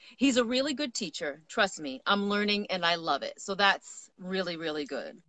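A woman with a bright, sharp tone is heard in a dry sound with no echo. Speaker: livestream host. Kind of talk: casual chat. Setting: live video stream. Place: garden.

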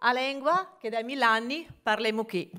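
Against a quiet background, a woman with a bright, sharp tone speaks at a fairly slow pace with ordinary pitch variation. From Genoa, Liguria. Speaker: business association president. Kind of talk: welcome speech at a conference. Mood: warm, playful, smiling. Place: hall. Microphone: podium.

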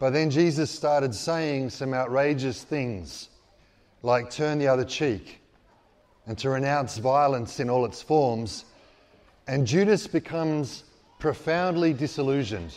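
Speech at a fairly slow pace, with ordinary pitch variation and long, frequent pauses. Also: man. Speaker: priest. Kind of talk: sermon. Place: hall. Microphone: handheld.

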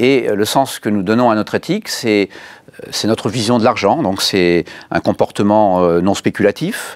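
Against a quiet background, a man with a medium pitch speaks at a fairly slow pace with ordinary pitch variation. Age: 60s. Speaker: bank executive. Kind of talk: interview. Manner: halting, many hesitations and repeated words; formal. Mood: calm, thoughtful. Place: studio. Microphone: lapel.

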